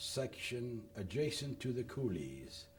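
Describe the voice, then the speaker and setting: This man has a medium-pitched voice. Audible room echo surrounds his speech. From Louisiana, Lafayette. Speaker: war veteran. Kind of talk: oral history interview. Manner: reading from prepared notes.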